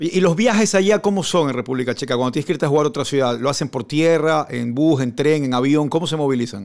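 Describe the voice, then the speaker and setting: Talking at a very fast pace, a man uses a fairly high voice. His intonation is lively. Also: hardly any pauses. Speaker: sports radio and TV host. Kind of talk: radio interview.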